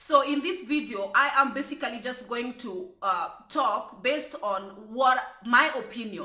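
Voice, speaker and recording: A woman with a strong Kenyan accent speaks in a raised, projected voice. Her pitch is high and her pace fairly slow. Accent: strong African (Kenyan Luo). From Kenya (Luo). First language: Luo. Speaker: YouTube commentary vlogger. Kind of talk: casual vlog commentary. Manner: careful full pronunciation; animated, with stammering repetitions.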